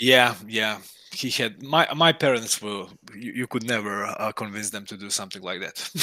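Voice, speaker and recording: A man with a Croatian accent talks at a moderate pace in a fairly low pitch, his bright, sharp tone carrying ordinary pitch variation and big swings in loudness. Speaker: indie game developer. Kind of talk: casual interview chat. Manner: halting, many restarts.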